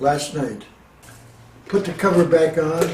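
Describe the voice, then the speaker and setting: Audible room echo and noticeable background noise surround a man with a Canadian accent. His voice is fairly high, his intonation fairly even and his pace very slow. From Ontario, Canada. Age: 80s+. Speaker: inventor. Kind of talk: interview. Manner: halting.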